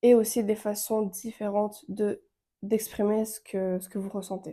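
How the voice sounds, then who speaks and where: Moving at a moderate pace, a woman speaks at a medium pitch with a dark, mellow tone and a monotone, flat intonation. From Romania. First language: Romanian (speaking French). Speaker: relationship and wellbeing content creator. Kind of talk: casual advice monologue. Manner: hesitant, with fillers.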